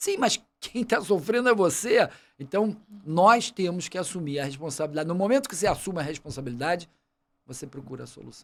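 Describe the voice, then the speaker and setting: This man talks in a high voice at a fairly quick pace. His intonation is lively and his loudness swings widely. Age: 60s. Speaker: medical doctor and water safety expert. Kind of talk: podcast interview. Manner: casual, halting with repetitions.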